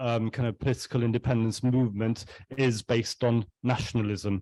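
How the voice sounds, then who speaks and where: Speaking at a moderate pace in a Welsh accent, a man uses a medium pitch and fairly even intonation. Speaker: artist on panel. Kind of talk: panel discussion. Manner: halting.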